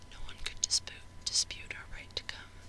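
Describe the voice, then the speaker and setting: The voice is whispering. Noticeable background noise sits behind it. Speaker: ASMR creator. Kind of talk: audiobook reading. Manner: whispered.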